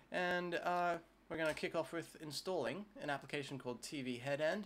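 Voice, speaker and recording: A man talks at a fairly high pitch with an Australian accent. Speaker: tech YouTuber. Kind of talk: tutorial. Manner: casual with frequent filler 'uh'. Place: home room.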